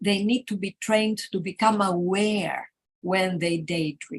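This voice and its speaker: Speaking very slowly with a Greek accent, a woman has a medium-pitched, somewhat breathy voice with ordinary pitch variation. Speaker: teacher educator. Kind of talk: conference workshop presentation. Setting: live conference workshop.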